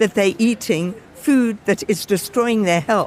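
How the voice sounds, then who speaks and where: Speaking fairly slowly in an English accent, a woman uses ordinary pitch variation. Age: 80s+. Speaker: cookery teacher and campaigner. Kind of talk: interview.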